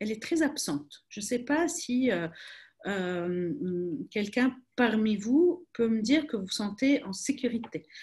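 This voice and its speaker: Lively intonation marks this woman's speech. She talks at a very slow pace. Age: 30s. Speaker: crisis communication expert. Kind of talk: webinar talk. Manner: hesitant, many repetitions.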